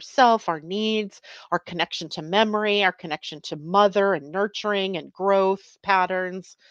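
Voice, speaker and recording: Over a quiet background, a woman with a plain, everyday voice speaks at a fairly slow pace in a medium pitch, the sound dry and close with no echo. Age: 60s. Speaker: astrologer podcast host. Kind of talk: casual livestream talk on astrology.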